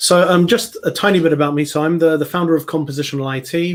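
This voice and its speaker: A man speaks at a fairly quick pace with a British accent. The recording is very clean, with a silent background. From England, London. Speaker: software consultant and conference speaker. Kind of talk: technical talk on live stream. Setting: live stream presentation. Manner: hesitant, many fillers and repetitions.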